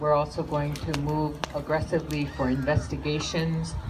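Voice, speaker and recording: A woman with an American accent, her pitch very deep and low, her intonation monotone and flat, at a moderate pace over noticeable background noise. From Lakota, Standing Rock, USA. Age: old. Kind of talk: speech to a gathering.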